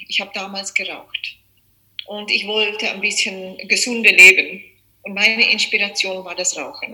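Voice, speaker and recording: Fairly even intonation at a moderate pace. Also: woman. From South Africa. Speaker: yoga teacher. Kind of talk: interview. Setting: video call.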